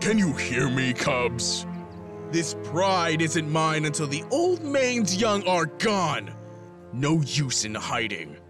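Cartoonish character voice from a man, fairly high in pitch and very slow, over clear music in the background. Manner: menacing, mocking.

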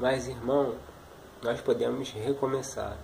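Delivered at a very slow pace, the voice is monotone and flat with vocal fry over light background noise. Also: man. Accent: Brazilian. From Brazil. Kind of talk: preacher exhortation, encouraging sermon-like address to viewer. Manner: earnest, warm, pleading; steady, urging, repetitive. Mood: earnest, compassionate. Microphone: webcam.

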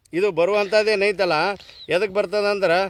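There is noticeable background noise behind a man with a high-pitched voice. His intonation is fairly even. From northern Karnataka, Vijayapura district. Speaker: traditional herbal healer. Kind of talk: outdoor tutorial video on herbal remedies. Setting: outdoors on a hillside. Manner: casual, repetitive, conversational.

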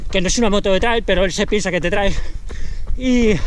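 The man talks at a moderate pace, with pitch that varies in an ordinary way. A little background noise is present, and his voice sounds dry, without echo. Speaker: trail runner vlogger. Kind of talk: casual vlog chat. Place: open country. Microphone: phone near.

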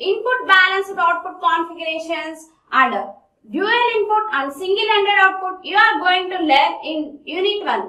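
Against a quiet background with audible room echo, a woman speaks at a moderate pace in a raised, projected voice, with ordinary pitch variation and a bright, sharp tone. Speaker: lecturer. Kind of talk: lecture. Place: classroom.

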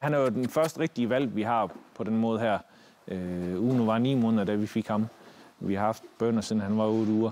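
A man's dark, mellow tone at very even loudness. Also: ordinary pitch variation, moderate pace. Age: 40s. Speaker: military dog handler and dog trainer; dog trainer. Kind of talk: casual explanation to camera. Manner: halting, many fillers and repeated words. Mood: calm, matter-of-fact.

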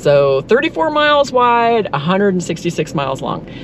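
Over faint background noise, a woman at medium pitch talks at a moderate pace with big pitch swings.

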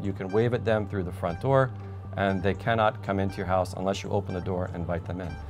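A man's fairly low voice with fairly even intonation, clear music playing in the background. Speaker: immigration lawyer. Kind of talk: interview answer. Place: studio.

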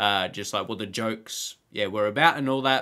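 Fairly even intonation against a quiet background. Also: man. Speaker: reaction video creator. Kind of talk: casual reaction commentary. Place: home room.

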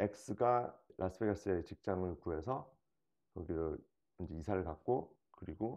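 Over a quiet background, a man speaks with very deep, low pitch and a dark, mellow tone. His pitch varies in an ordinary way. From South Korea. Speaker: investor, dating show contestant; interview guest. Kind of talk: casual interview. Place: home room.

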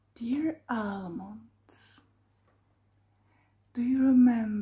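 A soft-spoken woman with a dark, mellow tone and fairly even intonation speaks at a very slow pace against a quiet background. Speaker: vlogger reading old letters. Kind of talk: reading letters aloud with casual comments. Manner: soft, hushed ASMR reading voice. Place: home room. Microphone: phone near.

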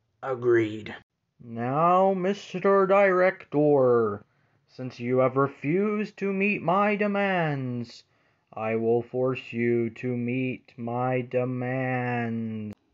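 Very slowly, a cartoonish character voice comes through at a low-to-middle pitch. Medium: puppet show. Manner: formal, menacing.

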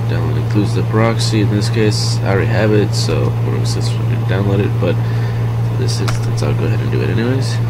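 A man speaks at a moderate pace. Loud background noise fills the recording. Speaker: tutorial maker. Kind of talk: tutorial. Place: home room.

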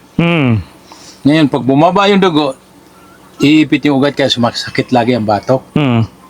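A man's fairly high voice at a moderate pace, with ordinary pitch variation, very even loudness, long and frequent pauses, and noticeable background noise. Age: 60s. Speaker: former overseas worker giving product testimonial. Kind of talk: testimony. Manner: halting.

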